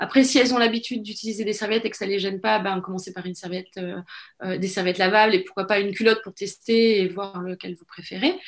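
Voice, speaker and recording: A woman of medium pitch talks at a very fast pace with hardly any pauses. Her intonation is fairly even, but her loudness swings a lot. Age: 40s. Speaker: women's wellness course founder. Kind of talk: podcast interview. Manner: hesitant, many fillers.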